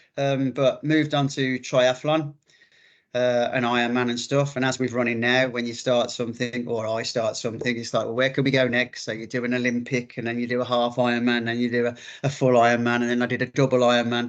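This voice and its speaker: Speaking in a Birmingham accent, a man at medium pitch talks at a fairly quick pace with flat, monotone intonation. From English Midlands, Birmingham. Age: 50s. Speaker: ultramarathon runner. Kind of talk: interview. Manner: halting, many fillers.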